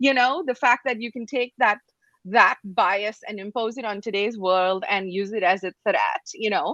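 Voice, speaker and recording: A woman speaks at a moderate pace with a fairly high pitch and ordinary pitch variation. Her tone is bright and sharp, and the sound is dry and close with no echo. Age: 40s. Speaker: podcast host. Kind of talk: podcast conversation. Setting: live video podcast.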